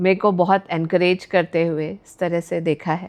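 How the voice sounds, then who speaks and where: A woman's fairly low voice against a quiet background. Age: 50s. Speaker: architect and entrepreneur. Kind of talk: interview. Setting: studio. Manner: hesitant, many filler sounds.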